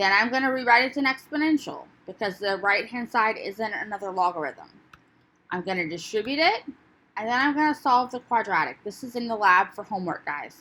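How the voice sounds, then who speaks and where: Quick-paced and fairly high in pitch, a woman talks in a plain, everyday voice with lively intonation. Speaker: math teacher. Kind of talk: lecture.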